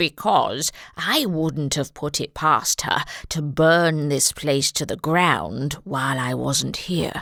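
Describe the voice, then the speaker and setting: This woman uses a put-on character voice with a very deep, low pitch. The recording is very clean, with a silent background. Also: fairly slow pace. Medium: read story. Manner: petulant, snappish.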